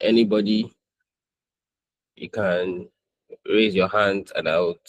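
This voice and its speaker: Very slow, fairly even speech from a man at a fairly low pitch, with a dry, close sound and no echo. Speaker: design instructor. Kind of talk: online class.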